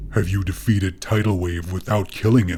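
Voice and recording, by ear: A put-on character voice booms and growls at a fairly quick pace. Its intonation is fairly even, with clear background noise. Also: man, very deep, low pitch for a man.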